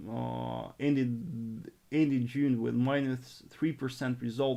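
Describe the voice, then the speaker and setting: A man speaks with a Russian accent on a very clean recording with a silent background. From northern Russia. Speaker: forex trader and trading coach. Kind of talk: live stream trading analysis and Q&A. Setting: live stream. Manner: halting, frequent repetitions.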